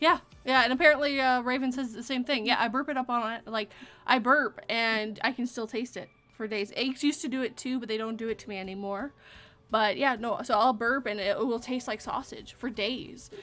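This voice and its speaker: In a very clean recording with a silent background, a woman with a Canadian accent speaks at a fairly quick pace, her high pitch and bright, sharp tone carried on fairly even intonation. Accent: Canadian accent, shows on some words. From Vancouver area, British Columbia, Canada. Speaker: live stream chat host. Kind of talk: casual chat. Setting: live stream.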